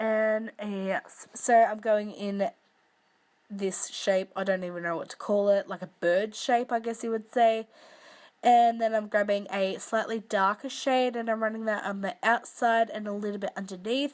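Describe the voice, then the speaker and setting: In a very clean recording with a silent background, a woman with an Australian accent speaks at a moderate pace in a fairly high voice with fairly even intonation. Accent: Australian, broad. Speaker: makeup tutorial youtuber. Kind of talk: tutorial. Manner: casual, chatty.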